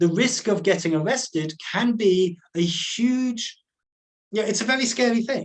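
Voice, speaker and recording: A man with a high voice talks at a fairly slow pace. He leaves long, frequent pauses and uses ordinary pitch variation. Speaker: conservation scientist and activist. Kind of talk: webinar lecture. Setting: online webinar. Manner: slow, with many fillers and repetitions.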